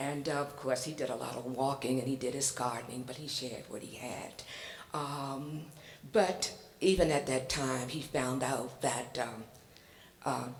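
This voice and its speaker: Amid noticeable background noise and audible room echo, a woman with a Virginia accent speaks in a very deep, low voice with fairly even intonation. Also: moderate pace. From Virginia, foot of the Blue Ridge Mountains. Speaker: public commenter, community advocate. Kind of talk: public testimony. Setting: public hearing in school hall. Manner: hesitant, many fillers.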